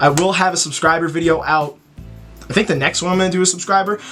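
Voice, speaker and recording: The man's tone is animated. Pitch moves with ordinary variation. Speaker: gaming YouTuber. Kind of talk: gameplay commentary. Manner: stuttering at times.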